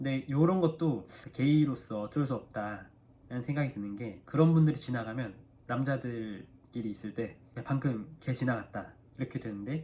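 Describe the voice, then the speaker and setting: This man has an unremarkable speaking voice, medium in pitch, moving at a moderate pace with ordinary pitch variation. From South Korea. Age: 30s. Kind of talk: casual talk to camera.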